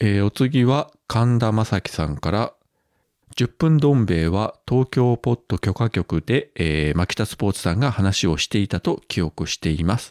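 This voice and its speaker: In a very clean recording with a silent background and a dry, close sound with no echo, a man with an ordinary speaking voice talks at a moderate pace, with a fairly low pitch and lively intonation. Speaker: podcast host. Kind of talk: casual chat.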